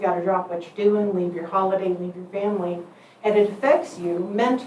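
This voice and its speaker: Fairly even intonation marks this woman's speech. Audible room echo and noticeable background noise surround her. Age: 60s. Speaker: volunteer firefighter and EMS captain. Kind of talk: public comment at a meeting. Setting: county commission meeting.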